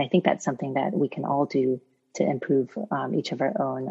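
A somewhat breathy woman with an American accent speaks at a very deep, low pitch. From United States. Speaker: physician researcher. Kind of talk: interview.

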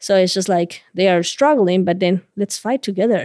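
A woman with a Bolivian accent talks at a medium pitch. The sound is dry and close with no echo, on a very clean recording with a silent background. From La Paz, Bolivia. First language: Spanish. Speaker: migrant rights activist.

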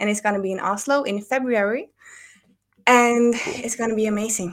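In a Norwegian accent, a woman talks at a fairly high pitch with ordinary pitch variation. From Norway. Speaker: data consultant. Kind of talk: casual chat.

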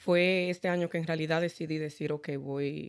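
Over a very clean recording with a silent background, a woman speaks in a plain, everyday voice. Her pitch is fairly low, her intonation fairly even, and her pace moderate. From Dominican Republic. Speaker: credit repair specialist. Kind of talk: interview.

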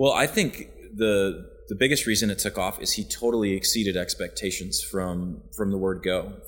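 With an American accent, a man talks at a moderate pace with hardly any pauses. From US Midwest (western Wisconsin). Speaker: chef and restaurant partner. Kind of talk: casual interview. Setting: restaurant upstairs office.

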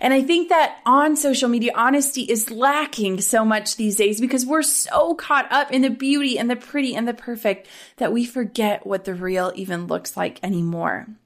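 With an American accent and lively intonation, a woman's high voice moves at a moderate pace with hardly any pauses, recorded very cleanly against a silent background. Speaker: podcast host and business coach. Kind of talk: casual monologue.

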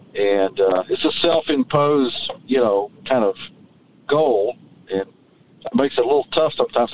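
With a Southern US accent, a man talks at a medium pitch with ordinary pitch variation. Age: 60s. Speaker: tree farmer and author. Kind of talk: casual interview. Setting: in a truck on a tree farm.

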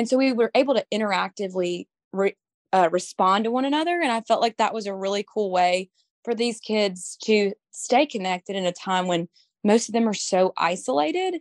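A woman speaks with a Southern US accent at a fairly quick pace. Her intonation is lively, and the sound is dry and close with no echo. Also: medium pitch for a woman. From Mississippi. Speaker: beauty pageant titleholder. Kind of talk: interview.

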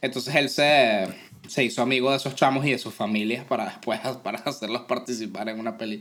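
A man talking very fast with a Venezuelan accent, medium in pitch, with fairly even intonation. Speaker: podcast co-host. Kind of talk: casual chat.

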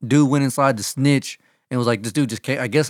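A man with a Texan accent at a fairly quick pace, on a very clean recording with a silent background. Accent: Texan American English. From Texas. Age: 30s. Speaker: podcast co-host. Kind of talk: casual chat.

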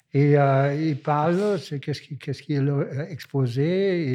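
The speaker has a German accent and a dark, mellow tone, with ordinary pitch variation. The pace is fairly slow, and the background is quiet. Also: man. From Germany. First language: German (speaking French). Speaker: visual artist. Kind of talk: interview.

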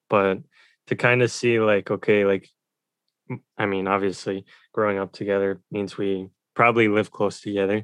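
A man with an American accent talks at a moderate pace in a fairly low pitch, his intonation flat and monotone. The sound is dry and close with no echo, and he leaves long, frequent pauses. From United States. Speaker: podcast co-host. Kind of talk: casual chat.

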